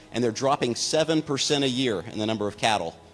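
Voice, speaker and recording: A man with a medium-pitched voice talks very fast, with ordinary pitch variation, over music in the background. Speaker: company executive giving investor presentation. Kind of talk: business presentation.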